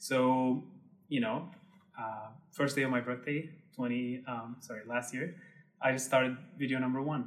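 A man with an Arabic accent speaks fairly slowly at a medium pitch, his intonation fairly even and his long pauses frequent. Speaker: tour guide and Instagram creator. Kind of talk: casual interview.

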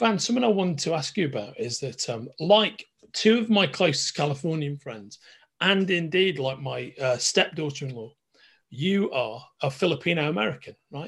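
A man with a Liverpool accent, fairly high-pitched, with very wide pitch swings, a moderate pace and a quiet background. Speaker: podcast host. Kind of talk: casual interview.

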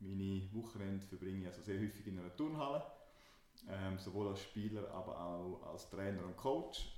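Audible room echo surrounds this man's voice. He speaks at a moderate pace with a fairly low pitch. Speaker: startup consultant and podcast co-host. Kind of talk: casual podcast chat.

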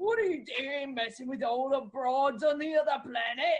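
In a put-on character voice, the speaker talks at a high pitch and a moderate pace.

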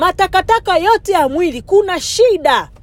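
Noticeable background noise sits behind a woman's voice. She has an animated tone and lively intonation. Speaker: preacher. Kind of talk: sermon. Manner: animated, urgent exhortation; fervent, commanding preaching delivery.

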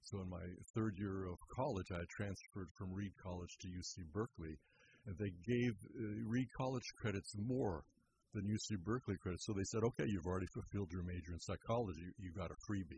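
A man talks at a fairly quick pace. His voice sounds somewhat breathy. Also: fairly low pitch for a man, ordinary pitch variation. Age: 70s. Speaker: therapist. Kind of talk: radio interview. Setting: studio.

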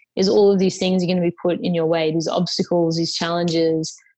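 A woman with an Australian accent at a medium pitch and a fairly quick pace. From UK and Australia. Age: 20s. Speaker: social entrepreneur. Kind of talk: interview.

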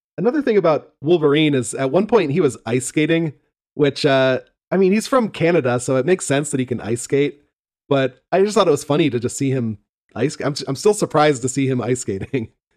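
He has an unremarkable speaking voice, fairly high in pitch for a man. His intonation is lively, and his pace is fairly quick. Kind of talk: casual chat. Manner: joking, banter.

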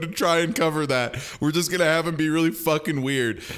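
A man has an ordinary speaking voice with ordinary pitch variation. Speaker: podcast host. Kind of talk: casual chat, podcast discussion.

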